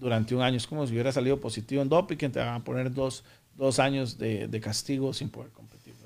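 A man's medium-pitched voice at a very fast pace, with fairly even intonation and big swings in loudness. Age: 40s. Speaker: powerlifting athlete. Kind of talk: interview. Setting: studio.

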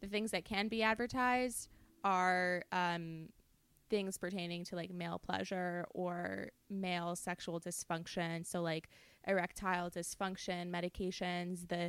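Recorded very cleanly over a silent background, a woman speaks at a moderate pace in a fairly low pitch with fairly even intonation. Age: 20s. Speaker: podcast co-host. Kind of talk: casual chat. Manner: loud.

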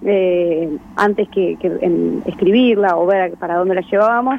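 A woman talks at a moderate pace with a medium pitch and fairly even intonation. It is a normal speaking voice. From Argentina, Buenos Aires province (Verónica). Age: 20s. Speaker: filmmaker. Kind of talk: radio interview.

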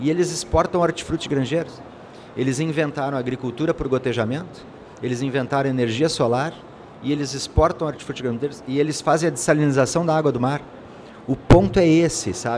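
Noticeable background noise sits behind the speech. A man talks at a fairly quick pace and a fairly high pitch. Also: ordinary pitch variation. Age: 50s. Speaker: insurance executive. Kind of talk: interview. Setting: studio at a conference.

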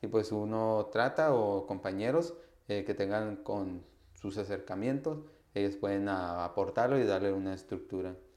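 A man speaks at a fairly slow pace. His pitch is fairly low, with ordinary pitch variation. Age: 20s. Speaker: university student and youth activist. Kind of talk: interview. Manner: hesitant, many fillers.

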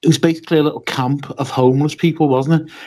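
This man has a Liverpool accent. He talks at a fairly quick pace. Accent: Scouse. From Liverpool, England. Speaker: wrestling podcaster. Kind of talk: casual chat.

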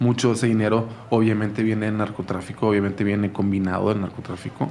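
Noticeable background noise sits behind a man with fairly low pitch. He speaks at a very fast pace with monotone, flat intonation. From Culiacán, Sinaloa, Mexico. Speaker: documentary maker. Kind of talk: casual chat.

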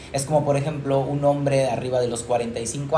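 Noticeable background noise and audible room echo fill the recording. A man talks in a medium pitch at a moderate pace. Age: 30s. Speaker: physician. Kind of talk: casual chat.

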